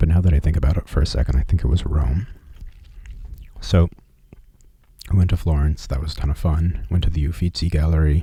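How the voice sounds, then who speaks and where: Soft-spoken and relaxed in tone, a man with a very deep, low voice talks at a fairly quick pace with fairly even intonation and long, frequent pauses, while noticeable background noise runs underneath. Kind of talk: ASMR personal travel story. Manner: soft-spoken, relaxed.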